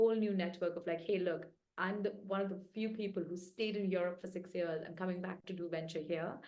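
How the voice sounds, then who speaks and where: In a room with audible echo, a woman at medium pitch speaks fairly quickly, her tone dark and mellow and her intonation fairly even. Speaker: venture capital investor. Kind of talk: interview.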